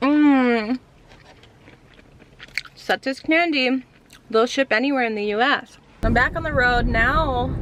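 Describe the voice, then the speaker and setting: Pausing long and often, a woman speaks very slowly at a high pitch with ordinary pitch variation, over noticeable background noise. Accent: American. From Pennsylvania, Philadelphia area. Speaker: vlogger. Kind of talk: casual vlog talk to camera.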